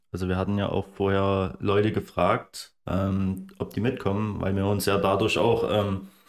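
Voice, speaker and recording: A man speaks at a fairly low pitch with a strong Saxon accent. His pace is moderate. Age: 20s. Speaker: landscape photographer. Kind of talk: casual chat.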